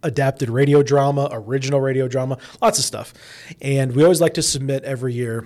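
Speaking at a moderate pace with a Midwestern American accent, a man has a dark, mellow tone and a medium pitch. His intonation stays fairly even. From Indianapolis, Indiana. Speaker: radio personality and teacher. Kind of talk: casual interview.

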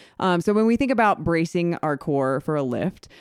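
With a plain, everyday voice, a woman of fairly low pitch speaks at a fairly quick pace on a very clean recording with a silent background. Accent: American. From Indiana. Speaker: fitness coach and gym owner. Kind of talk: casual chat. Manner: chatty, laughs often.

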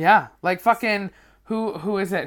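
Here a woman talks at a fairly slow pace in a Canadian accent. The recording is very clean, with a silent background. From Canada, Vancouver. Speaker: comedian. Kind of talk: casual chat.

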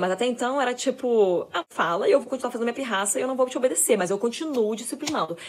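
A woman speaks in an animated tone at a very fast pace, fairly high in pitch with ordinary pitch variation. Noticeable background noise runs behind her. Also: hardly any pauses. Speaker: parenting influencer, mother. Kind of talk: casual monologue.

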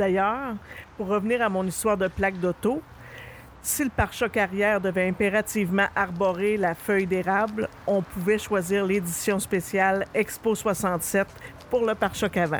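At a fairly slow pace, a woman speaks in a plain, everyday voice of medium pitch, with fairly even intonation and very even loudness. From Quebec, Rouyn-Noranda (Abitibi). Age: 50s. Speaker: podcast host. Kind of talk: scripted narration.

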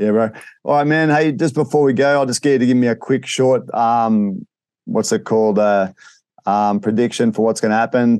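A man with an ordinary speaking voice talks at a moderate pace and medium pitch, with ordinary pitch variation and very even loudness. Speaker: MMA podcast host. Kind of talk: casual interview.

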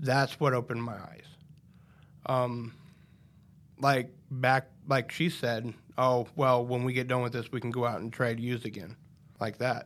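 A man speaks with a Midwestern American accent at a fairly slow pace. His intonation is fairly even, broken by long, frequent pauses. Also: medium pitch for a man. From Nebraska, Polk County. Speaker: recovering addict, court program graduate. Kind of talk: testimony. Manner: halting.

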